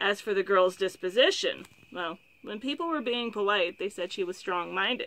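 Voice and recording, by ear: The voice is a natural one. It reads the text aloud.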